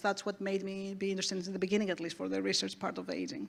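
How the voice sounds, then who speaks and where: Medium pitch from a woman, captured on a very clean recording against a silent background. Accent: Greek. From Greece. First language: Greek. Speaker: aging researcher. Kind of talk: panel discussion. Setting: stage with audience.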